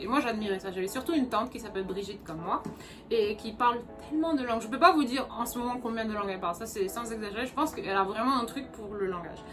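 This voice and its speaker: A very fast woman's voice, fairly high in pitch, with audible room echo and music in the background. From Senegal. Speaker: vlogger. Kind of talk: casual chat.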